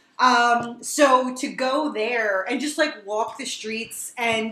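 With an American accent, a woman speaks in a high voice with ordinary pitch variation. Noticeable background noise and audible room echo are present. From New Jersey. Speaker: horror podcast host. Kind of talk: casual chat.

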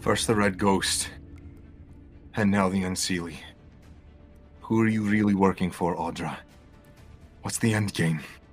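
Over clear music in the background, a man uses a put-on character voice with long, frequent pauses. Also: fairly low pitch for a man, moderate pace. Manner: dry, wry, then urgent.

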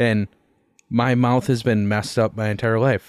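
This man's voice is fairly low and monotone, with flat intonation at a moderate pace. The recording is very clean with a silent background. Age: 20s. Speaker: sports podcast host. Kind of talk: casual chat.

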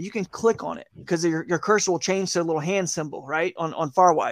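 On a very clean recording with a silent background, a man speaks at a fairly quick pace. His pitch is high and he has an American accent. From US South, Atlanta. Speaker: kayak angler and fishing video creator. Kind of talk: casual interview chat.

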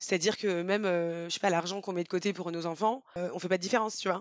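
Her intonation fairly even, a woman speaks at a very fast pace. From Brittany, France (Rennes). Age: 30s. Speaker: podcast guest, mother of a blended family. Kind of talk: casual interview chat.

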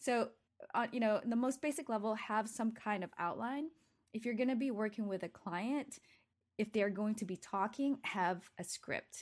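A woman speaks in a plain, everyday voice at a fairly high pitch with ordinary variation. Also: moderate pace, quiet background. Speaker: video creator and photographer. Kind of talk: casual interview.

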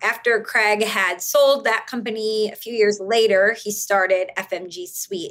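Medium-pitched, with ordinary pitch variation: a woman's voice, a normal speaking voice. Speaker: marketing executive. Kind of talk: casual interview chat.

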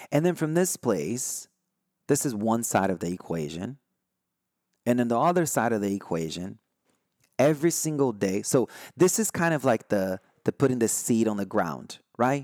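A man with a Brazilian accent, very wide pitch swings, a moderate pace and long, frequent pauses, in a dry, close recording with no echo. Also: medium pitch for a man. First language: Brazilian Portuguese. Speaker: spiritual podcast host. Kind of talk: solo podcast talk. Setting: recorded live online. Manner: halting, many fillers and restarts.

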